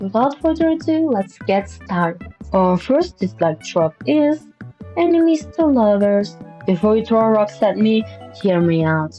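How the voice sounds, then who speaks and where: With music in the background, a woman speaks at a fairly slow pace in a non-native accent. Her medium pitch makes very wide swings while her loudness stays very even. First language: non-native English speaker. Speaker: artist and commentary YouTuber. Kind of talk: casual commentary to camera.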